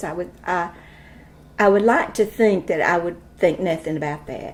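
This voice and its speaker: Speaking in an Appalachian accent at a fairly low pitch, a woman's voice shows big swings in loudness. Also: ordinary pitch variation, moderate pace. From East Tennessee. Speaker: school administrator. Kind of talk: interview answer.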